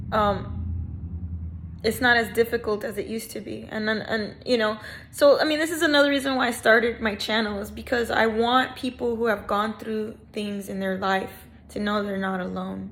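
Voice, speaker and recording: At a moderate pace, a woman speaks in a fairly high pitch, with audible room echo around her. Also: ordinary pitch variation. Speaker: aspiring musician and vlogger. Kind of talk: personal vlog monologue. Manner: halting, slurred at times.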